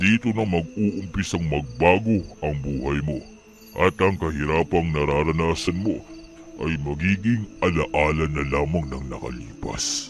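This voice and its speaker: Against clear background noise, a man uses a put-on character voice with a very deep, low pitch at a fairly slow pace. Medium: read story. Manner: formal, smooth, stately.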